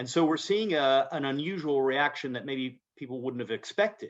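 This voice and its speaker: A man with an American accent at a moderate pace, ordinary pitch variation, quiet background. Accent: American-sounding. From Britain, schooled in the US. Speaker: fund manager. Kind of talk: interview. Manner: halting, many repetitions.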